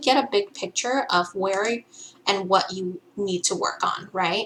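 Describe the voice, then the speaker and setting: A woman's lively intonation comes through at a moderate pace amid noticeable background noise. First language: not English. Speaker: gaming content creator. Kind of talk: game tutorial. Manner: casual, many filler ums.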